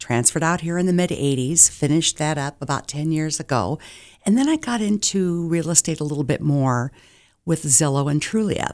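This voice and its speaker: Speaking at a fairly quick pace with an American accent, a woman with a very deep, low voice and ordinary pitch variation is heard in a very clean recording with a silent background. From Iowa, US Midwest. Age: 60s. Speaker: real estate agent. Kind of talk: radio interview. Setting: radio studio.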